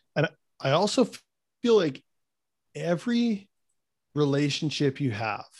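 Speaking with a Manitoban accent, a man with a fairly high pitch talks at a fairly slow pace, his pitch swinging very widely between long, frequent pauses. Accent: Canadian (Manitoba). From Canada, Winnipeg. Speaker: fitness coach and former pro hockey player. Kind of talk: casual interview chat. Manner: animated.

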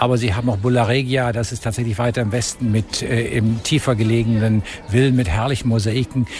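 Flat, monotone intonation over noticeable background noise. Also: man. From Germany. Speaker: ambassador. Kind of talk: interview.

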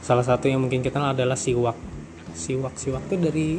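Here a man talks at a very fast pace. His pitch is medium and its variation ordinary. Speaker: podcast host. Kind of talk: casual solo chat with reading of articles. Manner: casual, laughing often.

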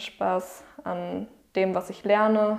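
The woman's medium-pitched voice unfolds at a very slow pace. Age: 20s. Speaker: psychology student. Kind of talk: interview.

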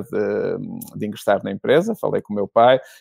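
A man speaks at a medium pitch in a dark, mellow tone. The recording is very clean with a silent background and a dry, close sound with no echo. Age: 40s. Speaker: business executive. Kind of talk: interview.

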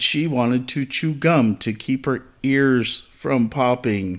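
A man with an unremarkable speaking voice talks at a fairly slow pace in a medium pitch, with ordinary pitch variation. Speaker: podcast co-host. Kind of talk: casual chat.

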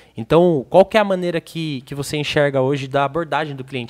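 A man with a fairly high pitch talks at a very fast pace in a very clean recording with a silent background, the sound dry and close with no echo. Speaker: podcast co-host. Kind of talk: casual chat. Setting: studio.

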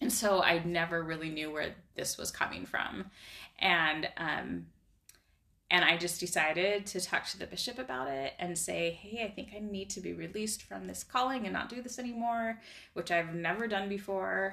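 A woman with an American accent and an ordinary speaking voice talks at a moderate pace in a fairly low pitch, with ordinary pitch variation. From Idaho. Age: 40s. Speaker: life coaching client. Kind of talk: casual interview. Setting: in person.

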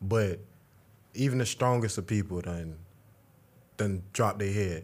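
In a very clean recording with a silent background, a man speaks at a fairly slow pace, his fairly low pitch showing ordinary pitch variation.

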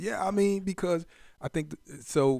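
The background is silent and the recording very clean. Delivery is at a moderate pace. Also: man. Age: 40s. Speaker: barber. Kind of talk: casual chat.

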